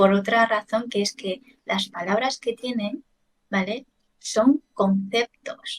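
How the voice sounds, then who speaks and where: With a Chinese accent, the speaker goes at a very slow pace with ordinary pitch variation, in a dry, close recording with no echo. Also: woman. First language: Chinese (speaking Spanish). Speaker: language teacher. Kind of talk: casual chat.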